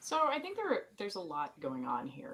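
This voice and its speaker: In a Southern US accent, a woman speaks at a fairly slow pace. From US South. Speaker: podcast co-host. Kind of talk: casual chat.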